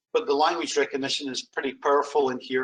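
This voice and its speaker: A man with a slight Scottish accent at a fairly quick pace. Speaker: software sales demonstrator. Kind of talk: product demo.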